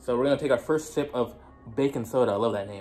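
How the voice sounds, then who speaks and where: A man speaks over faint background music. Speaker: vlogger. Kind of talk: casual vlog chat. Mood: playful, jittery, amused. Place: home room. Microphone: phone near.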